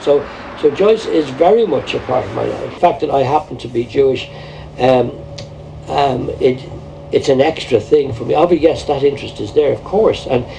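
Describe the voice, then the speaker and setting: Talking at a fairly quick pace in a Dublin accent, a man uses lively intonation and big swings in loudness amid noticeable background noise. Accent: Dublin Irish. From Ireland, Dublin. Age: 60s. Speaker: painter. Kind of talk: documentary interview.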